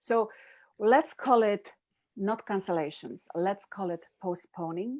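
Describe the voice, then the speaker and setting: A woman with a medium pitch speaks at a very slow pace with lively intonation. The recording is very clean, with a silent background. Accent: Polish. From Poland. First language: Polish. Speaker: happiness coach, summit presenter. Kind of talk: live-stream interview.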